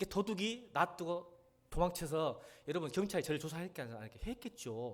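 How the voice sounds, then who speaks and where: The voice belongs to a man. Very wide swings mark his pitch. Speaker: pastor. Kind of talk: sermon. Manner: animated storytelling.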